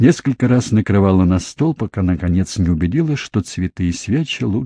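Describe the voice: In plain reading aloud, the voice carries lively intonation.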